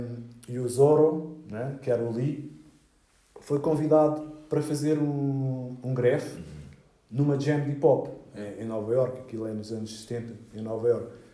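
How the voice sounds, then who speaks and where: A man with a medium-pitched voice speaks at a moderate pace with fairly even intonation, big swings in loudness, long and frequent pauses, and audible room echo. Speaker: graffiti artist. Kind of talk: interview. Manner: halting.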